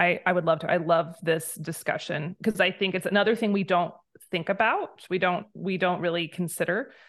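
Delivered at a moderate pace with fairly even intonation, the speech carries an American accent. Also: woman, fairly low pitch for a woman. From USA. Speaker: homesteading blogger and author. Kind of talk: casual interview chat. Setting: video call.

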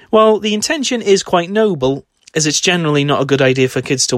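With a British accent, a man talks at a very fast pace. His intonation is lively. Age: 20s. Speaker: horror film podcaster. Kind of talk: scripted narration.

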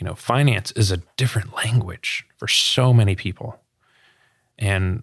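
In a very clean recording with a silent background, a normal speaking voice with an American accent delivers fairly even intonation at a moderate pace. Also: man. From US South, Sarasota, Florida. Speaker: financial advisor and nonprofit director. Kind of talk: interview conversation.

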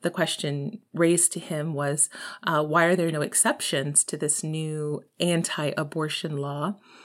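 In a Texan accent, a woman with a very deep, low pitch speaks at a fairly slow pace with fairly even intonation, on a very clean recording with a silent background. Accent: Texan American English. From Texas. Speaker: podcast host. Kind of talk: solo monologue. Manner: casual, rambling.

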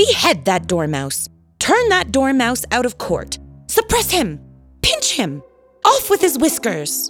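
A put-on character voice rings out fairly high and shrill in a furious tone. It moves at a fairly slow pace over faint music in the background. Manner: shrieking, furious.

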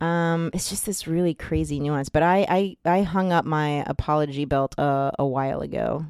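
An animated woman with a very deep, low pitch, a moderate pace and hardly any pauses, on a very clean recording with a silent background. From US Northeast (New Jersey). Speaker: podcast host. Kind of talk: casual chat. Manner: animated, laughing.

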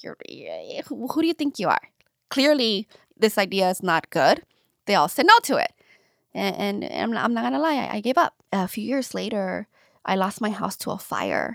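Recorded very cleanly against a silent background, a woman with a fairly high pitch and vocal fry speaks at a moderate pace, using very wide pitch swings and long, frequent pauses. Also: dry, close sound with no echo. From US, Los Angeles County (Lynwood). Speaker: radio personality and children's book publisher. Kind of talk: casual interview. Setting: studio.

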